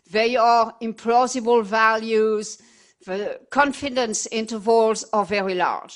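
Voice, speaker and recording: With a French accent, a woman speaks fairly slowly at a fairly high pitch. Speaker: epidemiologist. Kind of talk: lecture.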